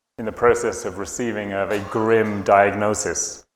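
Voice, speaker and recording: With audible room echo, a man with a British accent talks at a moderate pace and medium pitch. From UK. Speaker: conference speaker, tech entrepreneur. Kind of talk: conference talk.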